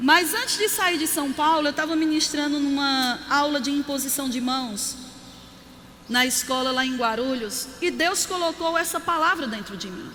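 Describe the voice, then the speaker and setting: Projecting her voice in an animated tone, a woman speaks at a moderate pace with a high pitch and ordinary pitch variation, over noticeable background noise and audible room echo. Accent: Paraíba. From Brazil, Campina Grande (Paraíba, Northeast). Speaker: pastor. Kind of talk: sermon.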